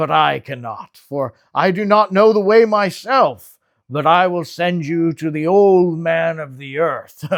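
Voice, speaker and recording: A man's put-on character voice, high-pitched with ordinary pitch variation, at a fairly slow pace with hardly any pauses, on a very clean recording with a silent background. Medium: read story. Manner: kind, gentle, unhurried.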